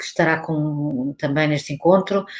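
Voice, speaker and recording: A woman with a European Portuguese accent speaks at a moderate pace and with fairly even intonation. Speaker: academic researcher. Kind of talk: conference talk. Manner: halting.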